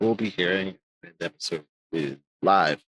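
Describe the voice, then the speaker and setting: The recording is dry and close with no echo, capturing a man who speaks with lively intonation. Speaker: podcast host. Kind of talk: casual interview chat. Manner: speaks in a raised higher pitch to be heard; halting, repeats words.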